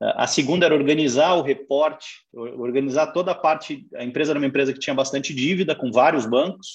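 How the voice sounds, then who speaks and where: This man has an ordinary speaking voice. His pitch is fairly high and his pace fairly quick. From Brazil, raised in Curitiba. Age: 40s. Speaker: finance executive. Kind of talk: interview. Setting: online live stream.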